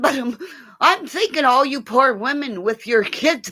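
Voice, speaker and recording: Shouting, a woman puts on a character voice. The sound is raspy. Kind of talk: crude, profane. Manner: yelling, exasperated.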